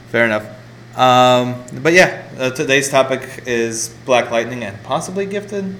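A man's medium-pitched voice with lively intonation, amid noticeable background noise. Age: 20s. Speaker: podcast host. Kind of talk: casual chat. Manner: halting.

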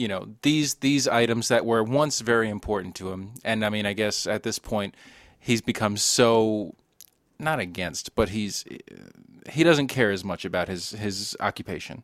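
A plain, everyday voice from a man, fairly low in pitch with ordinary pitch variation and a moderate pace, on a very clean recording with a silent background. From US East Coast, moved around often (New Jersey, Long Island, Texas). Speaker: film podcast guest, coworker of hosts. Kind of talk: casual chat.

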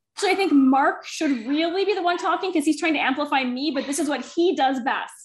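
A woman with a slight Minnesotan accent and a high pitch speaks at a fairly quick pace with hardly any pauses. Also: ordinary pitch variation. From northern Minnesota. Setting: working from home, dogs nearby.

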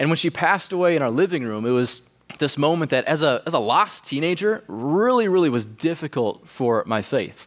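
A man talks at a fairly quick pace in a fairly high pitch. His pitch swings very widely. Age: 20s. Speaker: pastor. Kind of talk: sermon. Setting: church.

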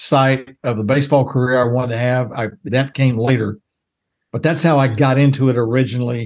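A man with a Texan accent keeps a moderate pace and fairly even intonation. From Texas, small town south of Dallas. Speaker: baseball radio announcer and former news reporter. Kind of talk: interview.

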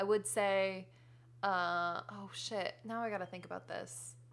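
At a moderate pace, a woman talks with a plain, everyday voice at a medium pitch and ordinary pitch variation. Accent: American. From US New England, Connecticut. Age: 20s. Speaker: comedian. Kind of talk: casual chat.

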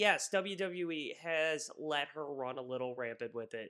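With a bright, sharp tone and an animated delivery, this voice shows ordinary pitch variation in a very clean recording with a silent background. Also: man. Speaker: wrestling podcast co-host. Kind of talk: casual banter podcast chat. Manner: animated, sarcastic; mock ring-announcer bombast.

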